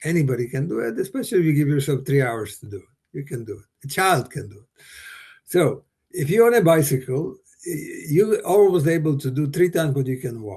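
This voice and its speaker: A man speaks at a fairly quick pace with a fairly high, somewhat breathy voice. His loudness swings widely. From Slovakia. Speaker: bike tour company founder. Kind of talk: interview. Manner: halting.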